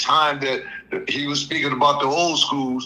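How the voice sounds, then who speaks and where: There is audible room echo and noticeable background noise. A man with a fairly high pitch speaks at a moderate pace. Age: 60s. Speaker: caller. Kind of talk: casual chat.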